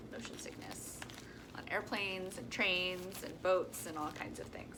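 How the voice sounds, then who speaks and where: A woman is heard through audible room echo, with noticeable background noise present. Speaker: travel vlogger. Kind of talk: casual vlog. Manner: casual with many filler ums.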